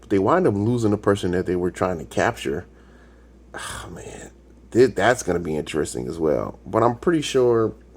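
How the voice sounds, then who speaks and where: A man speaks with lively intonation. His loudness swings widely. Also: fairly low pitch for a man. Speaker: YouTube TV reaction reviewer. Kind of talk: casual solo commentary. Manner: sometimes fast, stumbling; halting, searches for words.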